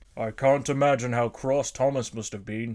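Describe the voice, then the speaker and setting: Using a put-on character voice at a medium pitch, a man talks at a moderate pace. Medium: read story.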